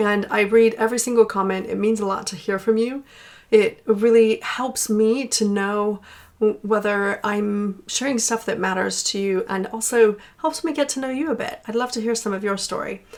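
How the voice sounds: The voice has an American accent and ordinary pitch variation. It moves at a moderate pace. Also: woman, medium pitch for a woman.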